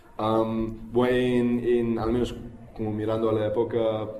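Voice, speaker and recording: A man at a medium pitch talks with audible room echo around him. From United States. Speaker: activist speaker. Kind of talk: public talk. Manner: halting, many fillers and repetitions.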